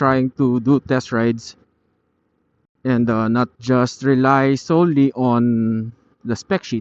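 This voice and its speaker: Speaking very slowly, a man keeps a medium pitch and fairly even intonation. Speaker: motovlogger. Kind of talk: ride review vlog. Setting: riding a scooter on the road. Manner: halting, with fillers.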